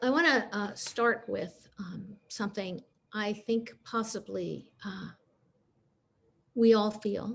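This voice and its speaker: With long, frequent pauses and a very slow pace, a woman speaks at a fairly high pitch with ordinary pitch variation, big swings in loudness and vocal fry. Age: 70s. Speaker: Zen practitioner and designer. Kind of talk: dharma talk. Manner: halting with fillers.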